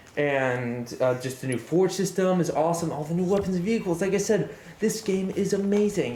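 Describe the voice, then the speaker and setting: Speech at a fairly quick pace comes through noticeable background noise. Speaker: gaming youtuber. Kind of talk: scripted commentary. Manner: halting.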